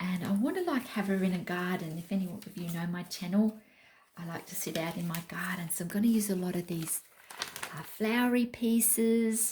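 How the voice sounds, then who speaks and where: Over noticeable background noise, a woman speaks in an Australian accent at medium pitch with ordinary pitch variation. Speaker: craft vlogger. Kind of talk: casual chat. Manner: slow.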